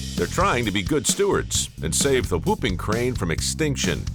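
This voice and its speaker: Music in the background behind a man at a moderate pace, his loudness very even. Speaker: television host. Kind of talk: documentary narration.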